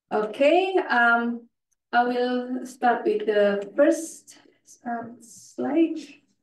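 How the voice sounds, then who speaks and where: A woman with a non-native accent, high pitch and lively intonation at a very slow pace, with audible room echo. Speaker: conference presenter, NGO specialist. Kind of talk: conference presentation. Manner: halting, many fillers.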